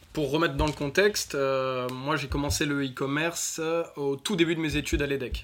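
A man with fairly even intonation over noticeable background noise. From northern France, north of Lille. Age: 20s. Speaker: e-commerce entrepreneur and crypto expert. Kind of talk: interview. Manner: halting, many fillers.

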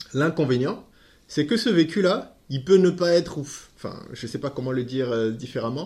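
Using an ordinary speaking voice, a man talks at a moderate pace and fairly high pitch with lively intonation. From West Africa. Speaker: nutrition product distributor. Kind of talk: podcast interview.

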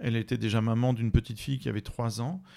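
A man at a medium pitch in a very clean recording with a silent background. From France. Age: 40s. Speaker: writer. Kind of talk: interview. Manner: halting, many repetitions.

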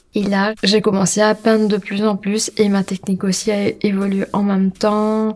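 Soft-spoken and monotone, the voice runs on in flat intonation with hardly any pauses. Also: woman, medium pitch for a woman. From Mauritius. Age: 30s. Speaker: street artist. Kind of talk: interview. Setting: hotel room. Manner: halting with fillers.

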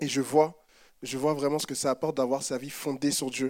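A man talks at a moderate pace. The background is silent on this very clean recording. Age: 20s. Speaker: church member. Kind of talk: testimony.

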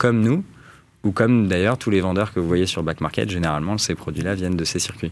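A man talks with a very deep, low pitch. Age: 30s. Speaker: startup founder. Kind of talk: interview. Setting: studio.

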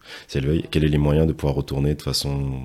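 Noticeable background noise sits behind a man speaking at a fairly quick pace in a very deep, low voice. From Martinique. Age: young. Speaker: podcast host. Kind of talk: interview. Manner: hesitant, many fillers.

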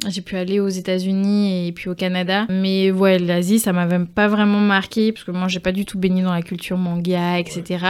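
At a moderate pace, a woman talks with hardly any pauses in a monotone, flat delivery. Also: medium pitch for a woman. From Guadeloupe. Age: young. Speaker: podcaster and environmental advocate. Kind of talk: casual interview.

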